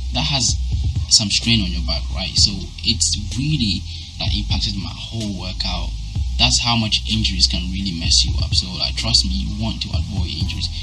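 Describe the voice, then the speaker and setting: With music in the background, a man speaks at a moderate pace with a very deep, low pitch. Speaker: fitness vlogger. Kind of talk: casual vlog chat. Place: home room. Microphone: phone near.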